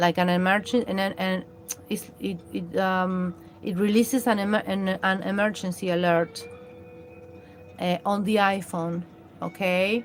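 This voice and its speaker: A woman with a Latin American accent at medium pitch, speaking at a fairly slow pace, with music in the background. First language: Spanish. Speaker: live streamer. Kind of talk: live stream commentary. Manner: halting, many fillers and restarts.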